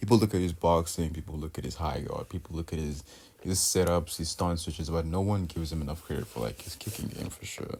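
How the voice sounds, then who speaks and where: Fast-talking at a fairly quick pace, a man uses a very deep, low voice with vocal fry. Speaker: MMA YouTuber. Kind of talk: fight analysis voiceover. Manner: halting, with pauses and stutters; casual.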